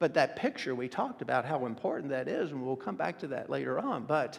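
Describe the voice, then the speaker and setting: A very fast pace over a quiet background. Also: man. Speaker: preacher. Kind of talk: sermon. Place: church.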